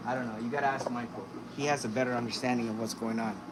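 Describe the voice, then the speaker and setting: The voice has ordinary pitch variation. Audible room echo and noticeable background noise fill the recording. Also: man. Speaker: fish breeder and aquarium youtuber. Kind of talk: live stream tour. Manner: soft-spoken; casual.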